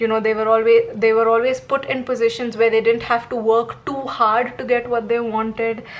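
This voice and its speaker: Speaking at a moderate pace, a woman uses a fairly high pitch. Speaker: tarot reader. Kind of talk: tarot reading monologue.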